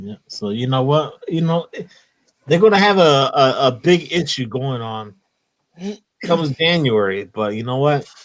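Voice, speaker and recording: In a Philadelphia accent, a man with a fairly high voice speaks with long, frequent pauses and big swings in loudness. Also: lively intonation, fairly slow pace. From Philadelphia, US. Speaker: comics YouTube host. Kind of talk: casual livestream chat. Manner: animated.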